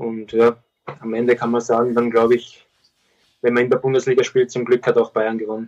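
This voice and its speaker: The voice moves at a fairly quick pace yet has long, frequent pauses, and its intonation is flat and monotone. The sound is dry and close, with no echo. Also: man, medium pitch for a man. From Austria. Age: 20s. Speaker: professional footballer. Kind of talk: interview.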